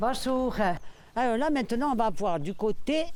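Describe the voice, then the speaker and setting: At a very slow pace, a woman speaks in a fairly high pitch with audible room echo. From Corsica, Bastia. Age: 60s. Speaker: longtime neighbourhood resident. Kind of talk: casual reminiscence on a guided walk. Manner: hesitant, many repetitions.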